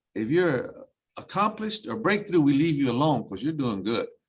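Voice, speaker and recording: A somewhat breathy man at a fairly quick pace, with very wide pitch swings. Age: 60s. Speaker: school superintendent. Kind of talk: panel discussion.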